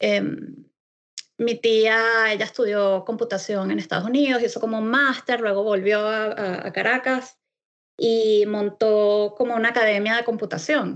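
Her pitch sits fairly high for a woman. The intonation stays fairly even. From Venezuela. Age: 40s. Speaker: web developer. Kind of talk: interview. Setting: video call. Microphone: Skype connection.

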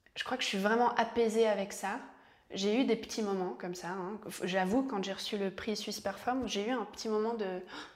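This woman has a plain, everyday voice of medium pitch, talking at a moderate pace with fairly even intonation. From Valais, Switzerland (Sion). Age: 20s. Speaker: actress. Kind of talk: interview. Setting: at her parents' home.

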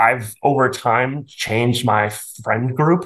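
A man speaks at a very slow pace in a medium pitch. His pitch variation is ordinary, and the background is quiet. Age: 40s. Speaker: bowhunter and financial advisor. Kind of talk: casual interview chat.

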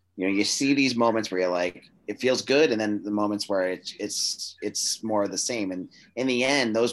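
Pitched fairly low, a man talks at a fairly quick pace with ordinary pitch variation in an ordinary speaking voice. The background is quiet. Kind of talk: casual radio interview.

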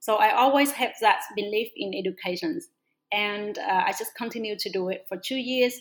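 In a Vietnamese accent, a woman speaks at a moderate pace. Her pitch is fairly high with ordinary variation. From northwest Vietnam. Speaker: social entrepreneur. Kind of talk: interview. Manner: halting, hesitant.

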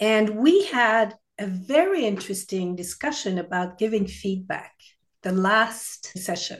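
A woman speaks at a fairly slow pace with a medium pitch and ordinary pitch variation. She has a plain, everyday voice, and the background is quiet. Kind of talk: casual chat.

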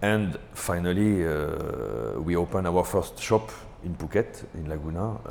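A man with a French accent speaks at a fairly slow pace, his very deep, low voice carrying lively intonation. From France, Paris. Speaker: ice cream business owner. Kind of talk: interview. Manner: halting.

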